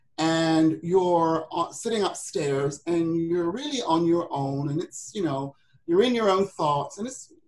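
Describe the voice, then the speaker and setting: A woman with a British accent and a fairly low voice speaks at a fairly slow pace with ordinary pitch variation. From Britain. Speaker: women's business coach. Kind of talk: webinar presentation. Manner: halting, many fillers.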